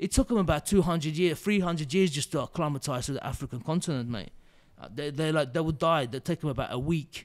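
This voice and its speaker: Talking at a very fast pace, a man with a fairly high pitch and ordinary pitch variation is captured in a very clean recording with a silent background. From Azerbaijan, moved to UK at 14. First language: Azerbaijani/Turkish/Russian. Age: 30s. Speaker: ex-soldier. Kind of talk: podcast interview. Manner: animated.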